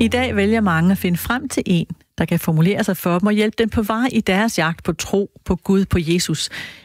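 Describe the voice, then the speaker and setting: With music in the background, a woman speaks at a moderate pace and medium pitch, her loudness very even and her pitch variation ordinary, in a dry, close sound with no echo. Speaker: radio host. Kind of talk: radio interview questions.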